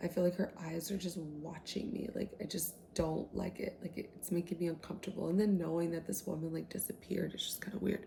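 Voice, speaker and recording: This speaker is soft-spoken and moves at a fairly quick pace. There are hardly any pauses. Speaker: book content creator. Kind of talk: casual book retelling to camera.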